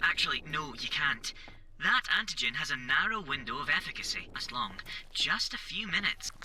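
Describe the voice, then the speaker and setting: A put-on character voice, fairly high and fairly quick, over clear background noise. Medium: machinima. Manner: precise, matter-of-fact.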